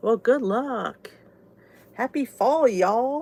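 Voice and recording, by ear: Very slowly and with lively intonation, a woman in a Southern New Jersey accent speaks at a fairly high pitch with a slightly mellow tone. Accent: southern New Jersey American.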